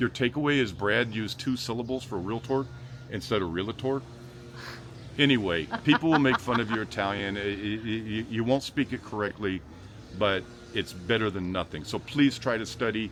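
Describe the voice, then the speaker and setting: With an American accent, a man speaks at a moderate pace and medium pitch. His tone is animated, with ordinary pitch variation. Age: 50s. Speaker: real estate video host. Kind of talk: casual chat.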